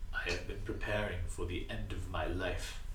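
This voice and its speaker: Over loud background noise and a slight echo, a man does a put-on character voice at a moderate pace. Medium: actual play.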